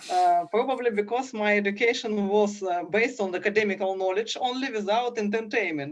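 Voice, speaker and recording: With a Russian accent, a woman of medium pitch talks at a fairly quick pace with hardly any pauses, very even loudness and ordinary pitch variation. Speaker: education official. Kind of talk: panel discussion. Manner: halting.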